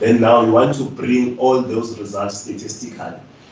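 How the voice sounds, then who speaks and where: A man speaks at medium pitch and a moderate pace. There is noticeable background noise and audible room echo. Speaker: webinar presenter. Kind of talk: lecture. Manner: halting.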